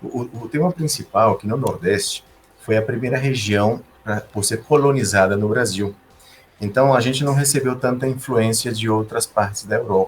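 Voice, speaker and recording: A man's somewhat breathy voice at a medium pitch, with ordinary pitch variation and a moderate pace. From Brazil, Recife (Northeast), gaúcho father, Sergipe mother. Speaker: engineer. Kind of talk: podcast interview.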